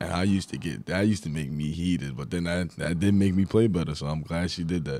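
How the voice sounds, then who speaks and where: In a New York accent, a man speaks with a very deep, low pitch and a dark, mellow tone. His pitch varies in an ordinary way, and the sound is dry with no echo. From Long Island, New York. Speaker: college basketball player; guest. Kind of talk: casual interview. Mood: relaxed, reflective. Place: studio. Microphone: studio mic.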